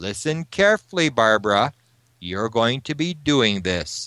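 Using a put-on character voice, a man booms at a moderate pace, his medium pitch making very wide swings. The sound is dry and close, with no echo. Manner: commanding.

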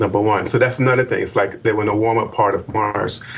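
On a very clean recording with a silent background, a man talks in a somewhat breathy voice. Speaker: Mars researcher. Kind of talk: interview.

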